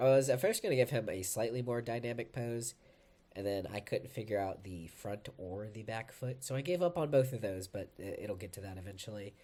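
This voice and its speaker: This man talks at a fairly quick pace with a medium pitch, a dark, mellow tone, ordinary pitch variation and big swings in loudness. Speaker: art YouTuber. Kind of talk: casual commentary over drawing.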